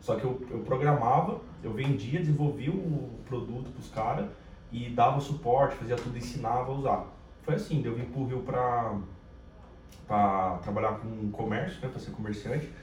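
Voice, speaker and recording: A man of medium pitch talks at a moderate pace with ordinary pitch variation. The recording has audible room echo and noticeable background noise. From São Paulo, Brazil (capital and interior). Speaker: sales professional and business partner. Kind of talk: casual chat.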